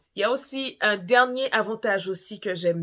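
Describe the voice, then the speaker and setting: Here is a woman with an ordinary speaking voice. She talks at a fairly slow pace with ordinary pitch variation. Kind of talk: casual talk to camera.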